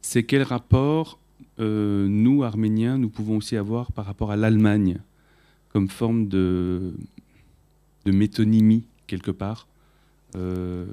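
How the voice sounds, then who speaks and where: A man talks at a fairly slow pace with a fairly low pitch. His tone is dark and mellow, and his intonation fairly even. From France (Paris), Armenian heritage. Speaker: musician, audience member. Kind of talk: audience question.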